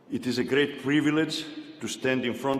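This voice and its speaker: A man speaks at a moderate pace with a non-native accent. Audible room echo surrounds his voice. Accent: foreign. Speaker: university chancellor. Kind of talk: commencement speech. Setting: arena with audience.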